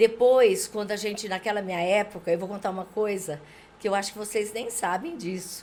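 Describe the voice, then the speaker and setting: Here is an unremarkable speaking voice from a woman at medium pitch. She talks at a fairly quick pace with ordinary pitch variation. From Brazil, interior of São Paulo state (Junqueirópolis). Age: 60s. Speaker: local politician. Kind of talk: podcast interview, life story.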